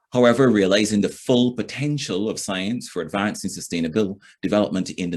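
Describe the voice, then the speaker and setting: A man with a Barbadian accent speaks at a moderate pace over a quiet background. His voice is fairly low and shows ordinary pitch variation. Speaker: event moderator. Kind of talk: formal event opening speech. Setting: recorded online session. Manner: formal.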